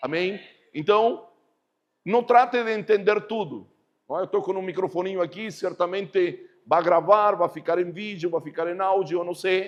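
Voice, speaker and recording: A man with a high-pitched voice speaks at a moderate pace. His pitch varies in an ordinary way. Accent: strong Spanish. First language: Spanish (speaking Portuguese). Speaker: pastor. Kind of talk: sermon. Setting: church service.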